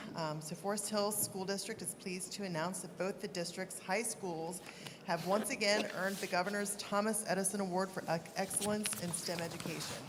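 With audible room echo and noticeable background noise, a woman speaks at a fairly quick pace in a medium pitch and a monotone, flat intonation. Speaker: school board official. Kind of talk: formal announcement at board meeting. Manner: halting when reading names.

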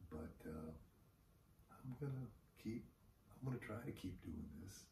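Soft-spoken and very slow, a man speaks with vocal fry and very wide pitch swings amid audible room echo. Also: dark, mellow tone, light background noise. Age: old. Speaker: vlogger and retired investor; retiree vlogger. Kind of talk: casual monologue vlog. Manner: hesitant, many fillers. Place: home room. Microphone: camera far.

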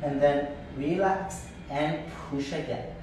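A man is speaking in a room with strong echo. Light background noise is audible too. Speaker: yoga teacher. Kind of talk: class instruction. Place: home room. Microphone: video call.

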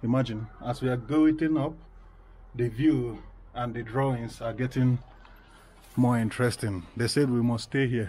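Delivered at a moderate pace with fairly even intonation, the voice is somewhat breathy and broken by long, frequent pauses. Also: man. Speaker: vlogger. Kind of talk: casual vlog chat. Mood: playful, mock spooked. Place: open country.

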